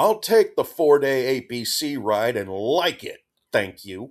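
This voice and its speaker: A man in a put-on character voice at medium pitch and a fairly slow pace, on a very clean recording against a silent background. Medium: read story.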